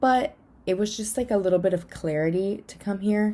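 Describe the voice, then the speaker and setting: A woman with an American accent speaks at a fairly quick pace. Her tone is dark and mellow, with ordinary pitch variation. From South Florida. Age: 20s. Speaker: vlogger and grad student. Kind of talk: casual vlog monologue.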